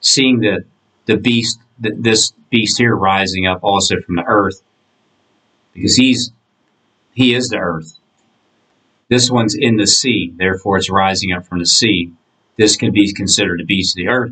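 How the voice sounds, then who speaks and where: With an American accent and a bright, sharp tone, a man speaks at a moderate pace and fairly low pitch with ordinary variation, taking long, frequent pauses against a quiet background. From Florida. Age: 40s. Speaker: online video creator. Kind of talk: monologue.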